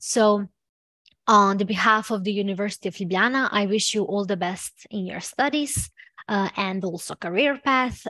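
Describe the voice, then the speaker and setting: A Serbian accent at a fairly slow pace, in a dry, close sound with no echo. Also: woman. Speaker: university student representative. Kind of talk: online presentation. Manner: halting, many fillers.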